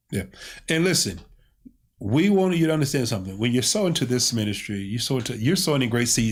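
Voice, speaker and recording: The man's voice sits at a medium pitch. His tone is animated. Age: 50s. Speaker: pastor. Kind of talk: casual chat.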